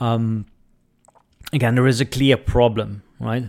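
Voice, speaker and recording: A speaker with a Dutch accent talks at a fairly slow pace with fairly even intonation. The recording is very clean, with a silent background. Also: man. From Netherlands. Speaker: podcast host and business coach. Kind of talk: solo podcast talk. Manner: casual with many fillers.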